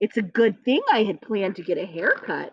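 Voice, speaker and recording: A put-on character voice at a fairly quick pace. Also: woman. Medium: read story.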